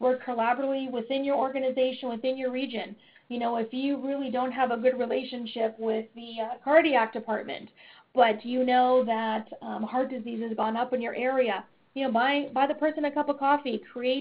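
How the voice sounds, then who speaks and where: Speaking at a fairly quick pace, a woman uses a high pitch and monotone, flat intonation. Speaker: webinar presenter, community health consultant. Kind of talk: webinar presentation. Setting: online webinar. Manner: fast; many fillers (um, uh, you know).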